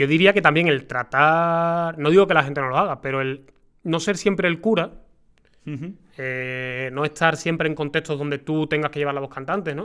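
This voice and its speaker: The man's voice sits fairly high with ordinary pitch variation. He has a bright, sharp tone and a moderate pace. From Seville, Spain.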